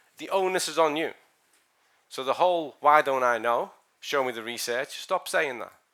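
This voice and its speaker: A man's bright, sharp tone in a very clean recording with a silent background. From Ireland and Scotland. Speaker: sports scientist. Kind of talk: lecture. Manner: loud; animated.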